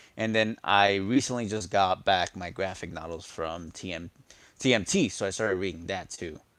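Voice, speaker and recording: A man with a Spanish accent and a very deep, low pitch speaks at a moderate pace with ordinary pitch variation. His tone is animated with big swings in loudness, in a very clean recording with a silent background. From New York. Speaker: toy collector streamer. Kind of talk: casual live stream chat.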